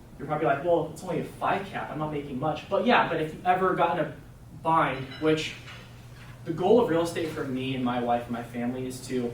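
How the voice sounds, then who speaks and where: A man speaks at a fairly high pitch and fairly quick pace with ordinary pitch variation. Audible room echo and noticeable background noise fill the recording. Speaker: real estate investor presenting to agents. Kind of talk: presentation to a group. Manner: fast; casual, filler-heavy.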